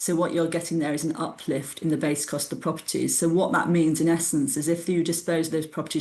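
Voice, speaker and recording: A woman in a British accent, with a very deep, low pitch, monotone, flat intonation and audible room echo. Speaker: tax adviser presenting a webinar. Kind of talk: webinar lecture. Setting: online webinar. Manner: fast.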